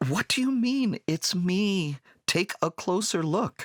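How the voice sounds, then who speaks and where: Using a put-on character voice, a man speaks high with very even loudness in a dry, close sound with no echo. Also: fairly slow pace, lively intonation. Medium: read story.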